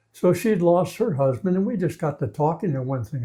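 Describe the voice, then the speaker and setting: With an American accent, a man speaks at a moderate pace using lively intonation. His voice is somewhat breathy, with a dark, mellow tone. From Minnesota. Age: 80s+. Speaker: war veteran. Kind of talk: interview answer.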